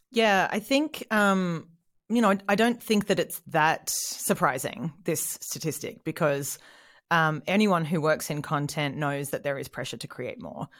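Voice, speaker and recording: A woman with an Australian accent on a very clean recording with a silent background. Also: fairly low pitch for a woman, lively intonation, fairly slow pace. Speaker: content marketing head. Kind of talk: casual interview.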